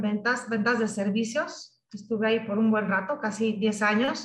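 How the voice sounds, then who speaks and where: A woman with a fairly high pitch sounds somewhat breathy, and audible room echo surrounds her voice. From Michoacán, Mexico. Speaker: technology sales executive. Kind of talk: interview. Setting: video call.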